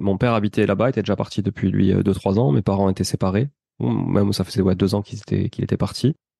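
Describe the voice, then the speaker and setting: Talking at a very fast pace, a man uses a fairly low, dark, mellow voice with vocal fry. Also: ordinary pitch variation. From southern France, Toulouse. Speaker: real estate investor and podcaster. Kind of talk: interview. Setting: podcast.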